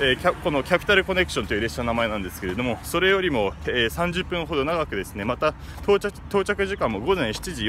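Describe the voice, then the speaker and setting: A man at a very fast pace with very wide pitch swings, dry sound with no echo, and light background noise. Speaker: travel vlogger. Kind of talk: casual vlog commentary. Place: street. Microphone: phone near.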